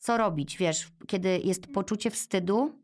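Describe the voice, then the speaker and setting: Lively intonation over a fairly slow pace of speech. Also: woman. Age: 40s. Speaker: podcast host, mother of three. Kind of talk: casual interview conversation.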